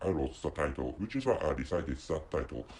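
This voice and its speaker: Vocal fry runs through this man's voice. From Japan. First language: Japanese. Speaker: podcaster. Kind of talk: solo podcast monologue. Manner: halting, many repetitions and restarts.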